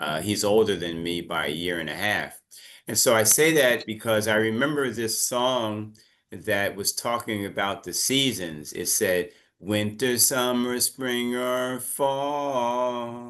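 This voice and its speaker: With an American accent, a man talks at a very slow pace with ordinary pitch variation against a quiet background. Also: medium pitch for a man. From United States. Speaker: English teacher. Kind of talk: online class lesson. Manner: casual, conversational.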